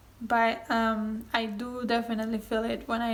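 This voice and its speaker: Amid audible room echo, a woman with a Spanish accent speaks at a fairly slow pace in a fairly high pitch, her intonation monotone and flat. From Spain. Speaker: booktuber. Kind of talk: casual vlog talk answering tag questions. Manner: hesitant with frequent ums.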